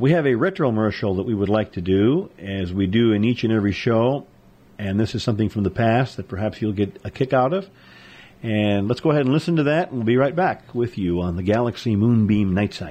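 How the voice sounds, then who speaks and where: With an unremarkable speaking voice, a man talks at a fairly quick pace and a medium pitch with lively intonation. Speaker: co-host. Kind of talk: casual chat. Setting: studio.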